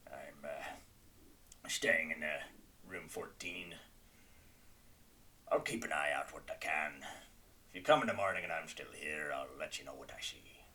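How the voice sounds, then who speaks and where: A man whispers in a put-on character voice. Long, frequent pauses break up his speech. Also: moderate pace. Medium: actual play. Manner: gruff, terse.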